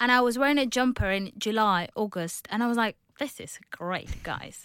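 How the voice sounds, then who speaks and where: A Spanish accent with ordinary pitch variation. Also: woman. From Spain, outskirts of Barcelona (Catalonia). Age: 20s. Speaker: office worker. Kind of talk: casual interview.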